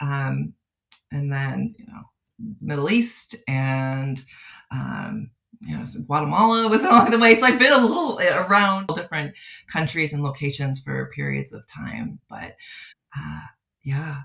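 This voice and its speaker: A woman with a Midwestern accent at a fairly slow pace, with long, frequent pauses. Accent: American Midwest. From US Midwest, outside Chicago. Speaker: clinical psychologist. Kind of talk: podcast interview. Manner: halting, many fillers.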